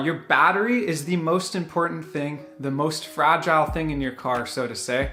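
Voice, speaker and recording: Music plays in the background as a man talks with lively intonation. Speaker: car owner video creator. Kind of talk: tutorial. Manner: fast.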